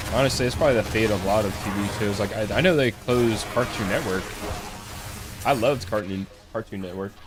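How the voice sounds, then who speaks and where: A man's very fast speech with ordinary pitch variation, music playing behind him. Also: fairly low pitch for a man. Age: 20s. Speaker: video game streamer. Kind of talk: casual chat. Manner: casual.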